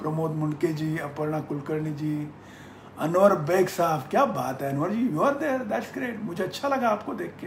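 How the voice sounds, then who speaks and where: Audible room echo and noticeable background noise fill the recording while a man with fairly high pitch keeps a moderate pace. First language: Marathi (speaking Hindi). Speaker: business mentor. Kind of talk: live-stream Q&A. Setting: Facebook live session.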